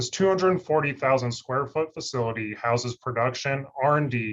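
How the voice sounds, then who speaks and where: Using a medium pitch, a man speaks at a fairly quick pace. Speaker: research scientist. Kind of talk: webinar presentation. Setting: online webinar. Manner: monotone.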